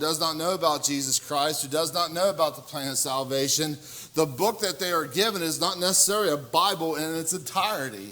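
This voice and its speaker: A man talks at a fairly quick pace in a fairly high register. His pitch varies in an ordinary way, and noticeable background noise can be heard. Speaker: preacher. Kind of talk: sermon. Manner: loud.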